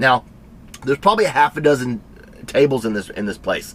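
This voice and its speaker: A man speaks with a Tennessee accent. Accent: Southern US (Tennessee). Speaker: cooking and lifestyle vlogger. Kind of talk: casual storytelling. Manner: fast; animated.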